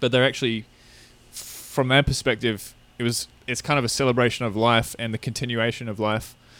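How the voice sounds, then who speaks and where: A man speaks with an Australian accent at a fairly quick pace. His intonation is monotone and flat. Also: medium pitch for a man. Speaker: podcast co-host. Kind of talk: casual chat.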